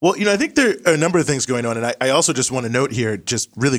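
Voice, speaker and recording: A man with an American accent, talking at a very fast clip. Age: 30s. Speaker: author and activist. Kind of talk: political discussion.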